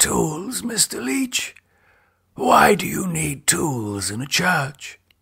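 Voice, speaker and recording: Quiet, raspy and hoarse, a man performs a put-on character voice at a fairly high pitch and a very slow pace. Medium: read story. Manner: bitter, quietly menacing.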